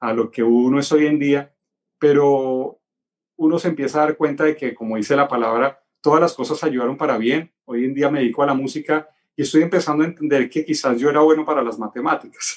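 A plain, everyday voice from a man, fairly high in pitch, fairly quick, with fairly even intonation. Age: 40s. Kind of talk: casual chat.

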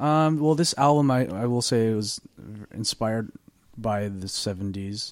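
In a very clean recording with a silent background, a man with a medium-pitched voice talks at a fairly slow pace with ordinary pitch variation in an ordinary speaking voice. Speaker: singer-songwriter. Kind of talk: casual chat. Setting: studio.

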